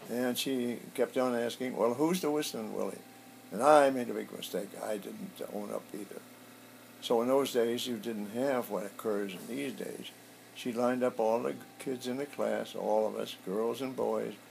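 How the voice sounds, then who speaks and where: A man with an American accent keeps a moderate pace while noticeable background noise goes on. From US Midwest, south side of Chicago. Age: 80s+. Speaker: war veteran. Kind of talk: oral history interview. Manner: halting, many fillers.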